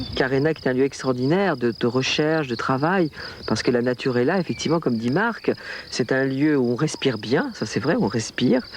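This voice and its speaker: A man at a fairly quick pace, very even in loudness, with ordinary pitch variation and noticeable background noise. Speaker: sopranist singer. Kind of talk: interview. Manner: halting with many hesitations.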